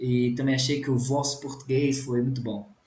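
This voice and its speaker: A man speaks at medium pitch with fairly even intonation. Audible room echo and noticeable background noise are present. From Brazil, Minas Gerais. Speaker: language teacher, YouTuber. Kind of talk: reaction video. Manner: casual, conversational.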